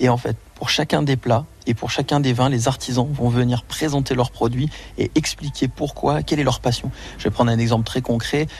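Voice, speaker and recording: A man with a medium pitch and a somewhat breathy voice talks at a moderate pace with fairly even intonation. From France, Auvergne. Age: 30s. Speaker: chef. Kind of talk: radio interview.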